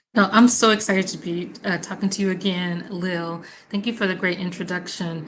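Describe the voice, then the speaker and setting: Speaking in an American accent at a fairly quick pace, the voice sounds somewhat breathy and stays monotone and flat in intonation. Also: woman, medium pitch for a woman. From US South, Mississippi. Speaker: environmental health researcher. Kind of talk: online panel conversation.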